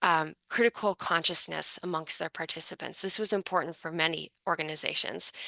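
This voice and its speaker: A woman speaks at a fairly low pitch with fairly even intonation and hardly any pauses. The sound is dry and close, with no echo. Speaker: book author presenting research. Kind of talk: academic presentation. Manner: fast.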